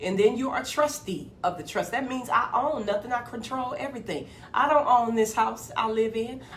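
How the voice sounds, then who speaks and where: A woman's fairly high voice in an animated tone, with ordinary pitch variation, a moderate pace, hardly any pauses, and noticeable background noise. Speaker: motivational video host. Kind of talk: motivational monologue.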